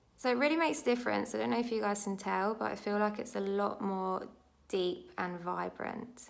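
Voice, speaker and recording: A woman's medium-pitched voice with lively intonation, at a fairly quick pace, with audible room echo. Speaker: beauty vlogger. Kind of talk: tutorial. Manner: stumbles over words.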